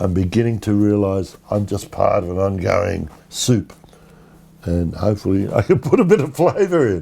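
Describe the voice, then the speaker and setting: A man with an Australian accent speaks at a moderate pace and fairly low pitch. His tone is dark and mellow, and his intonation is lively. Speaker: poet and short story writer. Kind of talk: interview answer.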